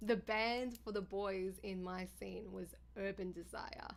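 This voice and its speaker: A woman with an Australian accent. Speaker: live streamer. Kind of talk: casual chat. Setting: live stream.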